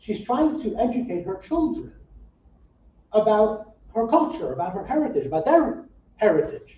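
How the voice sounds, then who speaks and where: A man's extremely high voice with very wide pitch swings, moderate pace and long, frequent pauses. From US Midwest, Saint Paul, Minnesota. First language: Yiddish. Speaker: rabbi. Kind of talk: public talk. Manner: casual, with many fillers and repetitions.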